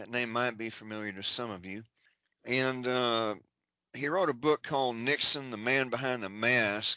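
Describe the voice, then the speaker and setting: A man speaks at a moderate pace and medium pitch with ordinary pitch variation, in a plain, everyday voice. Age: 60s. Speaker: researcher and writer. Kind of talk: interview, reading long lists of names.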